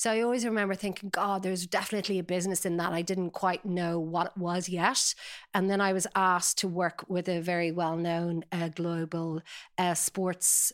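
A woman speaks at a moderate pace in a fairly low, flat monotone. The recording is very clean, with a silent background. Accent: Dublin. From Ireland, Dublin (Sutton). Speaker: talent agency founder. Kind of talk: interview.

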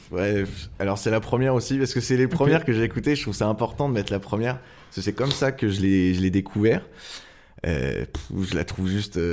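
A man with an ordinary speaking voice talks at a fairly quick pace and a fairly low pitch. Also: lively intonation. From France, Angers. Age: 20s. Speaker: surf club volunteer, rap fan. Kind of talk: casual interview. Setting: club office.

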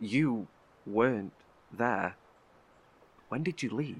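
Using a put-on character voice, a man speaks very slowly at a fairly low pitch with lively intonation and a slightly husky edge.

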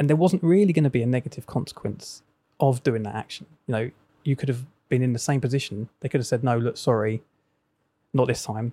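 A man's dark, mellow, somewhat breathy voice in an English accent, medium in pitch with ordinary variation, very fast in pace with long, frequent pauses. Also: dry, close sound with no echo. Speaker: coach and former DJ. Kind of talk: casual chat.

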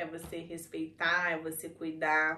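The speaker is a woman. She has a Brazilian accent. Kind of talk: casual chat.

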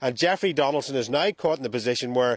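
Here is a man with a Northern Irish accent and ordinary pitch variation. The sound is dry and close, with no echo. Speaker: reporter. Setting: remote link.

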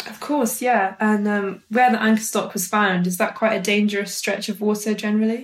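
A woman with a South Welsh accent, fairly high pitch, a fairly quick pace and monotone, flat intonation. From Wales, Brecon Beacons. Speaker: presenter. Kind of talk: scripted narration; interview.

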